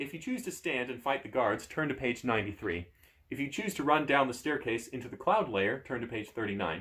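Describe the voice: The plain reading aloud carries lively intonation throughout.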